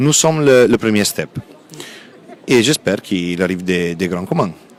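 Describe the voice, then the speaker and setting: Noticeable background noise sits behind a man whose fairly low voice carries lively intonation at a moderate pace. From Italy. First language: Italian (speaking French). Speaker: textile company sales representative. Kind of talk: interview at a trade fair. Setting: trade fair stand.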